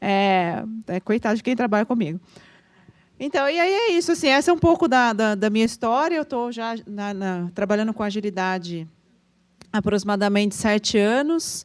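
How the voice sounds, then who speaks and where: Her intonation is lively. The woman's voice sits fairly high in pitch. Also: moderate pace. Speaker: agile consultant, panel speaker. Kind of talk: talk at a meetup.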